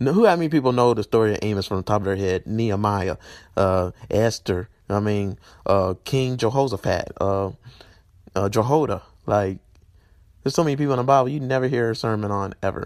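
With a Southern US accent and a fairly low pitch, a man speaks in an animated tone at a fairly quick pace, broken by long, frequent pauses, on a very clean recording with a silent background. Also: ordinary pitch variation. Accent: Southern US, country. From Tennessee, US South. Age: 20s. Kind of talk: sermon-style vlog monologue. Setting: video channel, solo. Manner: animated, preachy, emotional.

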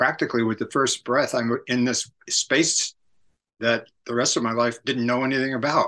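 Bright and sharp in tone, a man with a Californian accent talks at medium pitch with monotone, flat intonation. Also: moderate pace, quiet background. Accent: Californian American. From US West Coast, San Francisco area. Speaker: author and cultural critic. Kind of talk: interview.

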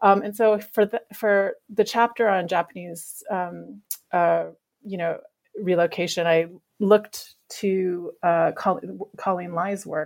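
Very slowly, a woman speaks with a Canadian accent. Her medium-pitched voice keeps a fairly even intonation. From Canada, Vancouver Island. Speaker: academic author. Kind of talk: interview about her book. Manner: halting, many fillers.

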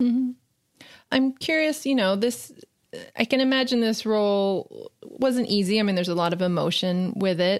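A woman talks in a normal speaking voice at a moderate pace, fairly high in pitch. Her pitch variation is ordinary and her loudness very even. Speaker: entertainment journalist interviewer. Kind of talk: interview questions, podcast host.

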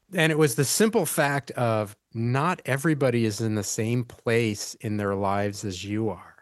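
At a moderate pace, a man with a medium pitch and ordinary pitch variation speaks in a plain, everyday voice. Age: 60s. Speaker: podcast host, IT company founder. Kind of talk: interview conversation.

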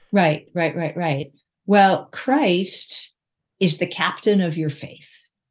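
A woman's fairly low, somewhat breathy voice at a very slow pace, over a quiet background. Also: ordinary pitch variation. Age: 60s. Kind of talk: interview.

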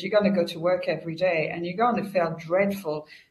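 A somewhat breathy, medium-pitched woman's voice in a French accent, fairly even in intonation, with audible room echo. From France. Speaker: customer experience consultant and author. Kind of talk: interview.

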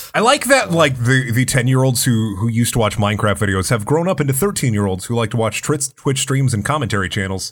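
A man speaks fairly quickly at a medium pitch, somewhat breathy, with hardly any pauses. The recording is very clean, with a silent background. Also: ordinary pitch variation. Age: 20s. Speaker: voice actor and YouTuber. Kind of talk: casual chat.

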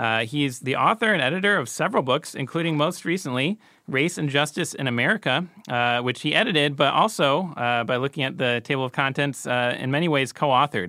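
With lively intonation and a bright, sharp tone, a man with a fairly high pitch speaks at a fairly quick pace. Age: 30s. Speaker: podcast host and editor. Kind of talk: interview. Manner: halting, many fillers.

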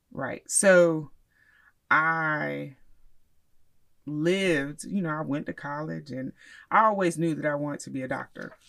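A woman with a very deep, low pitch talks at a fairly slow pace with an American accent and ordinary pitch variation. Her loudness swings widely, and she leaves long, frequent pauses. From Miami, Florida, US. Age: 40s. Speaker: therapist and professor. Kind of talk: casual interview. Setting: studio.

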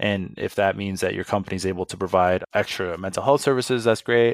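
The voice has fairly even intonation, with a dry, close sound with no echo on a very clean recording with a silent background. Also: man. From Saskatoon, Saskatchewan, central Canada. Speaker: business executive. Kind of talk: interview. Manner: mellow.

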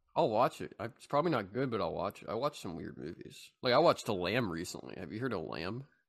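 Over a quiet background, a man with a fairly low pitch and vocal fry talks at a very fast pace in an animated tone, his pitch swinging very widely and his loudness rising and falling sharply. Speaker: podcast co-host. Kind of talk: casual comedic chat. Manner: animated, rambling with many fillers.

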